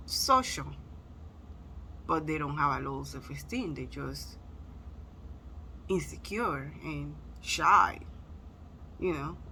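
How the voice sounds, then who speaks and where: A very slow pace in a Spanish accent, with long, frequent pauses. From Spanish-speaking country. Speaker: motivational vlogger. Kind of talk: motivational talk. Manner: casual, conversational.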